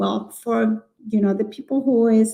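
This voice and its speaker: The speaker has a strong Chilean accent. The tone is dark and mellow. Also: woman. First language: Spanish. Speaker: early childhood educator. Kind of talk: live webinar conversation. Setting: live online broadcast. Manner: halting, with many fillers.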